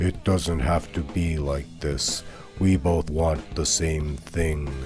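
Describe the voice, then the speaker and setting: Over clear background music, a man puts on a character voice with a very deep, low pitch, fairly even intonation and a very slow pace. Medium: read story. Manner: smooth, beguiling.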